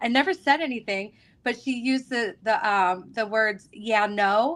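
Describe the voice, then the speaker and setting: A woman's fairly high voice with ordinary pitch variation, at a fairly slow pace, on a very clean recording with a silent background. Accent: American. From Michigan, US. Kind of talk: casual chat on a live stream.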